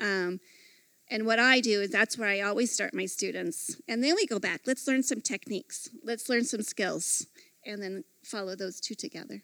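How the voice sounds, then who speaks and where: A woman speaks at a fairly high pitch in a normal speaking voice. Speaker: artist and art teacher. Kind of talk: panel interview at women's retreat.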